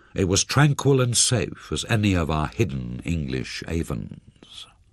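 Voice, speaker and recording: A man's pitch swings very widely. Vocal fry runs through his voice. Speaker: audiobook narrator. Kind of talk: audiobook reading of a thriller novel.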